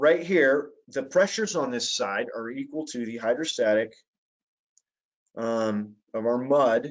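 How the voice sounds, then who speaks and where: Speaking at a fairly slow pace, a man uses lively intonation and takes long, frequent pauses. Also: medium pitch for a man. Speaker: petroleum engineering instructor. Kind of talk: webinar lecture. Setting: online webinar. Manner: hesitant with fillers.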